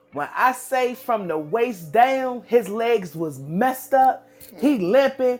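Over background music, a woman speaks at a very slow pace in a high pitch, her voice making very wide pitch swings. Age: 40s. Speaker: podcast co-host. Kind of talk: casual chat.

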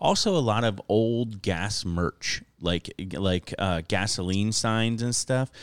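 The recording is very clean, with a silent background and a dry, close sound with no echo. A man speaks in an American accent with ordinary pitch variation. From Florida. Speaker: comedian. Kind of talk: casual chat. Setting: studio.

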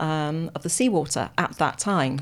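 A woman with a British accent speaks at a fairly low pitch. The recording is very clean, with a silent background. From UK. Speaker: paleoclimate scientist. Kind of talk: radio interview. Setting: radio studio.

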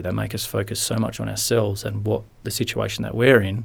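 A fairly quick voice with an Australian accent. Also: man. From rural Western Australia (Lake Grace). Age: 30s. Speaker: former footballer, mental health advocate. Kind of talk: interview.

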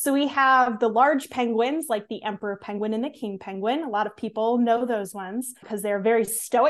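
In a plain, everyday voice with an American accent, a woman talks at a fairly high pitch with ordinary pitch variation. Her pace is moderate with hardly any pauses, over a quiet background. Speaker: conservation educator. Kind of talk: casual interview.

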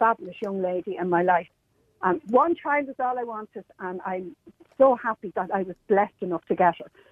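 A woman speaks with an Irish accent. Her pitch is medium. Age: 60s. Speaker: cabin crew member, radio caller. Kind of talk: call-in radio discussion. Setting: phone call. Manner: animated.

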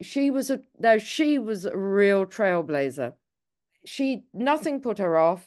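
In an English accent, a woman of medium pitch speaks at a very slow pace with very wide pitch swings against a quiet background. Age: 70s. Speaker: documentary filmmaker. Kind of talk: interview.

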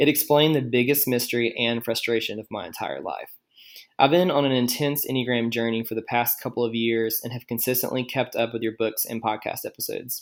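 The speaker has an ordinary speaking voice and fairly even intonation. The pace is fairly quick. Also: man, medium pitch for a man. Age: 20s. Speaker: listener leaving voicemail. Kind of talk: voicemail message.

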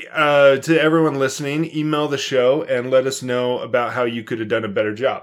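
A man's fairly high voice at a fairly quick pace with fairly even intonation, over noticeable background noise. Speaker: podcast co-host. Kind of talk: casual chat.

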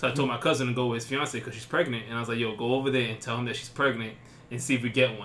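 A man speaks at a very fast pace and medium pitch in a monotone, flat intonation, his loudness swinging widely amid noticeable background noise and audible room echo. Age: 20s. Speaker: podcast co-host. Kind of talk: casual chat.

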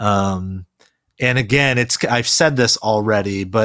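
A man with an ordinary speaking voice talks at a fairly low pitch and a fairly slow pace, with ordinary pitch variation. The recording is very clean, with a silent background. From South Korea, raised in US. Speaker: pastor. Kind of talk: podcast interview.

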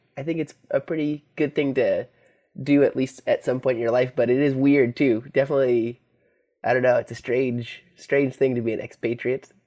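A man's medium-pitched voice with a Californian accent and flat, monotone intonation, against a quiet background. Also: moderate pace. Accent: California surfer-like snowboarder speech. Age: 30s. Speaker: musician, former pro snowboarder. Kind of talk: casual chat. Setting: phone call. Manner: halting, many fillers.

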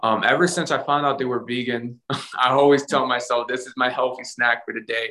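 Using fairly even intonation, a man talks at a medium pitch. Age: 20s. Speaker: life coach and motivational speaker. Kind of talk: casual interview.

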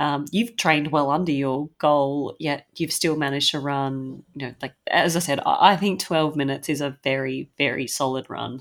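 With an Australian accent, a woman whose pitch is very deep and low talks at a moderate pace, with fairly even intonation and hardly any pauses. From Sydney, Australia. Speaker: podcast co-host, runner. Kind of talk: casual podcast chat.

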